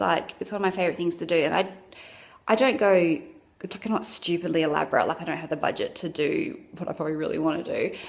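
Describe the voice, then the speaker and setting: Words come out at a very fast pace. They're delivered in an Australian accent. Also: woman. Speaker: vlogger. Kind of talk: casual chat.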